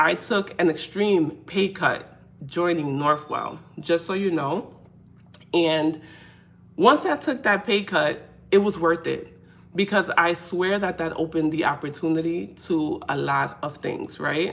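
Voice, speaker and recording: Speaking at a very slow pace, a woman with a fairly low pitch and vocal fry shows ordinary pitch variation. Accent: New York. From New York City. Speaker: faith content creator. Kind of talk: casual live stream talk to camera. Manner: conversational, hesitant.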